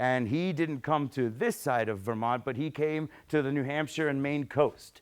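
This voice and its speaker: The speaker moves at a moderate pace with lively intonation. Behind the voice the background stays quiet. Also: man. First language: Spanish. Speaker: museum science educator giving a talk. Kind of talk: public lecture. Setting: hall with live audience. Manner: conversational, with fillers and repetitions.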